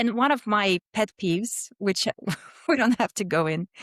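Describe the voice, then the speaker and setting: A woman with a Russian accent speaks at a moderate pace in a fairly high pitch with lively intonation, on a very clean recording with a silent background and a dry, close sound with no echo. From Russia, Moscow. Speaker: business founder and CEO. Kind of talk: podcast interview.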